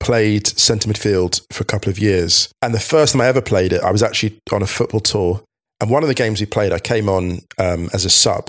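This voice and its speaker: A normal speaking voice moves at a fairly quick pace on a very clean recording with a silent background. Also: man. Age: 40s. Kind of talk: casual chat.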